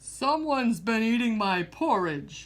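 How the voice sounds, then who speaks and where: A female-sounding put-on character voice comes out gruff and growling at a fairly high pitch. The pace is fairly slow. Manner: growling, gruff.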